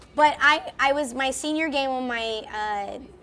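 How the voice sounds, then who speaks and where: A woman with a high voice speaks at a fairly slow pace, raised and projected, her tone bright, sharp and animated, with ordinary pitch variation. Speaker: voice actor and lumber business co-owner. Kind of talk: casual podcast chat. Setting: recorded at a furniture trade show. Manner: animated, scattered.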